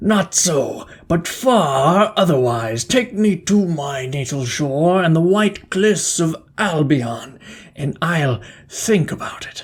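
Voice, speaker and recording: The pace is fairly slow. A put-on character voice holds a middle pitch. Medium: read story.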